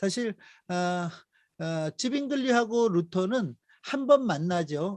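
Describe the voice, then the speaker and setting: A man with lively intonation is heard in a dry, close sound with no echo and a quiet background. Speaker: missionary lecturer. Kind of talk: lecture. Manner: many fillers (어, 아, 에); may speed up.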